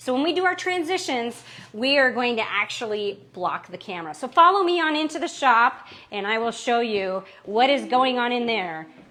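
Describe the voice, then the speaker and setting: A woman speaks loudly at a moderate pace, her high pitch moving in very wide swings. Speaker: artist giving studio tour. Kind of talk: live stream tour.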